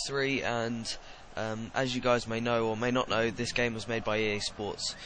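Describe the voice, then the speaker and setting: A man of medium pitch talks at a moderate pace while noticeable background noise plays underneath. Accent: English. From England. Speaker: gaming YouTuber. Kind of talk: gameplay commentary.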